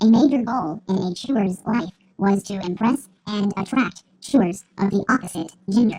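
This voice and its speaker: A female-sounding voice performs a put-on character voice at a medium pitch. The tone is deadpan. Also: moderate pace. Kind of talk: nature documentary narration. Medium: comedy sketch. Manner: deadpan, formal, clinical.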